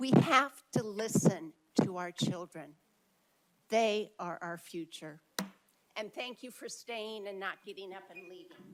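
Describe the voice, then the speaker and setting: A woman's medium-pitched voice at a fairly slow pace, with lively intonation, big swings in loudness and long, frequent pauses. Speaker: public commenter at school board meeting. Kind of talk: public comment speech. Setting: board meeting with large crowd, microphone.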